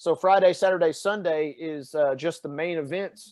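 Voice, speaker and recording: A man with a strong Tennessee accent speaks at a high pitch and a moderate pace. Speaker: fitness coach and sports reporter. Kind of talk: podcast conversation. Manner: animated.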